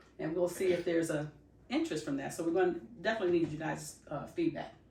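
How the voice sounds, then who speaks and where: A woman talks very fast in a fairly low, dark and mellow voice with vocal fry and fairly even intonation. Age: 60s. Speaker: loctician and podcast co-host. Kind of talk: casual podcast chat. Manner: halting, many fillers.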